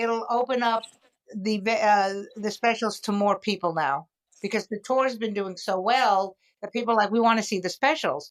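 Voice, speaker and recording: An ordinary speaking voice from a woman, fairly high in pitch, with ordinary pitch variation at a moderate pace. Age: 60s. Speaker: comedian and podcast host. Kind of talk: casual chat.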